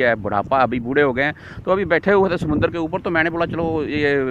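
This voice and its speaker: Loud background noise runs behind a man speaking at a fairly high pitch. His pitch variation is ordinary and the sound is dry with no echo. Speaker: vlogger. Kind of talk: casual talk to camera. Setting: outdoors. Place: beach. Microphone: phone near.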